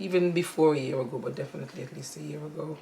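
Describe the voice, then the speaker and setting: A woman with a very deep, low voice talks at a very fast pace. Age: 60s. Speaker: interviewee, mother of the channel owner. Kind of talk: casual interview. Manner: hesitant, many fillers. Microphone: audio issues.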